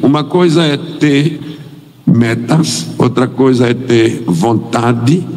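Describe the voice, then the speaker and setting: Amid noticeable background noise and audible room echo, a man speaks at medium pitch with lively intonation. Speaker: missionary pastor. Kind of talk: sermon. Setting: church.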